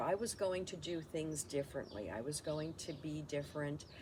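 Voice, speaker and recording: Audible room echo surrounds a woman whose very deep, low pitch moves with lively intonation. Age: 60s. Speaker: lifestyle vlogger. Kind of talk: personal reflection monologue. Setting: home, camera recording. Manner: halting, many fillers.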